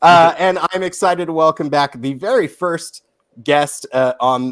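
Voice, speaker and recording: On a very clean recording with a silent background, a man talks in an ordinary speaking voice at a fairly slow pace with ordinary pitch variation. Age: 30s. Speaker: podcast host. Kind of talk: casual chat.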